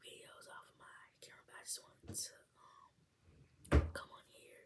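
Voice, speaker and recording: A woman is whispering. Her pace is moderate. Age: young. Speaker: college student. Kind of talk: casual talk to camera.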